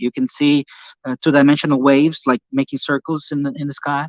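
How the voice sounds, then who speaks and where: With a Portuguese accent, a man speaks at a fairly quick pace in a fairly high pitch, the sound dry and close with no echo. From Brazil. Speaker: YouTuber, ocean physics channel. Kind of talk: casual chat.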